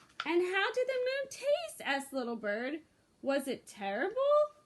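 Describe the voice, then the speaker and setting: A woman puts on a character voice, her pitch extremely high and swinging very widely as she talks at a moderate pace. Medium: read story. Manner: chirpy.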